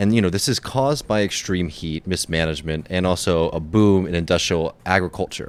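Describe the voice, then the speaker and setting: Talking fairly quickly with hardly any pauses, a man with an American accent has a very deep, low pitch and ordinary pitch variation. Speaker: podcast co-host. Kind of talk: explainer segment. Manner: casual, with fillers.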